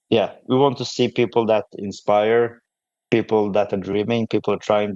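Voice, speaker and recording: In a non-native accent, a man speaks at a fairly low pitch with monotone, flat intonation. The sound is dry and close with no echo, over a quiet background. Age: 30s. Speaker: powerlifter. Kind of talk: podcast interview. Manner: halting.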